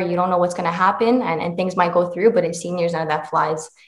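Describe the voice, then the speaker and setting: A woman talks with a Canadian accent and ordinary pitch variation. Audible room echo surrounds her voice. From Canada, Mississauga, Ontario; Ontario. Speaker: karate champion; guest. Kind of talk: interview. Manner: halting, many fillers. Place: home room. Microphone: video call.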